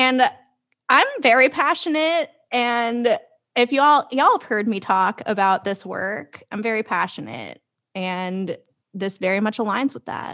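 In an American accent, a woman speaks at a fairly slow pace with a fairly high pitch and lively intonation. Her tone is bright and sharp, and the background is quiet. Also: big swings in loudness. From South Florida. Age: 20s. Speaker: podcast co-host. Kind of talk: casual chat. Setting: video call.

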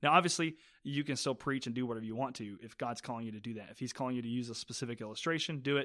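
A man talks very fast in a medium-pitched, bright and sharp voice with ordinary pitch variation. His loudness swings widely on a very clean recording with a silent background. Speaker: senior pastor. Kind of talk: casual interview. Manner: fast talker.

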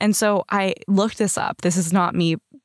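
In a very clean recording with a silent background, a woman speaks at a fairly slow pace in a plain, everyday voice of medium pitch. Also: dry, close sound with no echo. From Canada, Surrey BC. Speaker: podcast co-host. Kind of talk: casual chat.

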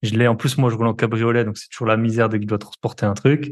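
A man speaks at a very fast pace and medium pitch. His intonation stays fairly even against a quiet background. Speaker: podcast host. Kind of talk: casual interview chat.

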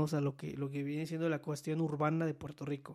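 A man with a Mexican accent and fairly even intonation, on a very clean recording with a silent background. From Mexico, Veracruz. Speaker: podcast host. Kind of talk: casual chat. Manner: halting.

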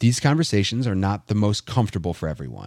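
On a very clean recording with a silent background, a man speaks at a fairly low pitch. The sound is dry and close with no echo, and his intonation is lively. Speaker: event organizer. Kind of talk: casual chat. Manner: talkative.

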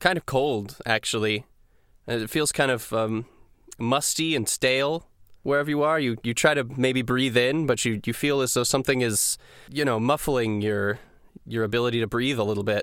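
In an unremarkable speaking voice, a man at a medium pitch talks at a moderate pace with ordinary pitch variation. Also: very clean recording, silent background. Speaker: dungeon master and podcast host. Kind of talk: tabletop roleplaying game session, casual chat. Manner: casual, conversational, joking.

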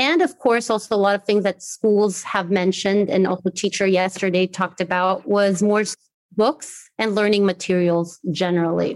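In a normal speaking voice with an American accent, a woman talks at a moderate pace and medium pitch, with ordinary pitch variation, very even loudness and a dry, close sound with no echo. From Brazil, trilingual upbringing (American mother, German father). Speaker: education specialist at an NGO. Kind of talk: interview. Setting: home office, remote.

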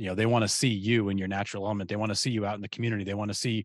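Against a quiet background, a man speaks at a very fast pace and medium pitch, the sound dry and close with no echo. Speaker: real estate coach and podcast host. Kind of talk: casual interview chat.

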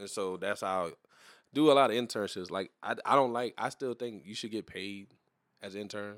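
Recorded very cleanly against a silent background, a man with a fairly low pitch and a bright, sharp tone talks at a moderate pace, showing ordinary pitch variation and big swings in loudness. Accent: south Louisiana. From Louisiana, New Iberia. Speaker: podcast co-host. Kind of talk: casual chat.

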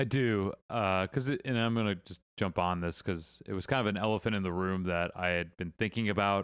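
A man's fairly low-pitched, plain, everyday voice at a fairly quick pace, with hardly any pauses, ordinary pitch variation, and a very clean recording with a silent background. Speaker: podcast co-host, film club member. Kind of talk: casual chat.

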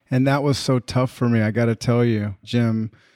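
A man with a normal speaking voice speaks at medium pitch and a fairly slow pace, with fairly even intonation. The sound is dry and close with no echo, in a very clean recording with a silent background. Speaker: podcast interviewer. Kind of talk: casual interview conversation.

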